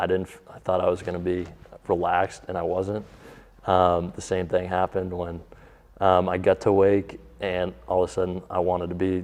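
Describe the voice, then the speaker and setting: Deep and very low in pitch, a man speaks with monotone, flat intonation. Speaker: professional baseball pitcher. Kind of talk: interview.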